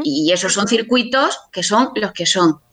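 This woman's intonation is lively while she talks at a fairly slow pace. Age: 50s. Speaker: publisher. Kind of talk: interview. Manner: halting.

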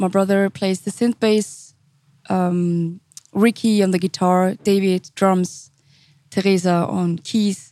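Monotone, flat delivery in a dark, mellow tone at a very slow pace. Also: woman, medium pitch for a woman, dry, close sound with no echo. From Switzerland, St. Gallen. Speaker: R&B singer. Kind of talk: interview.

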